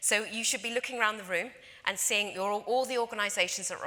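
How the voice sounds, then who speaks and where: Noticeable background noise runs behind this recording. A woman talks at a very fast pace. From London, England. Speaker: conference speaker, industry association representative. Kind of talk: conference presentation. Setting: stage with audience.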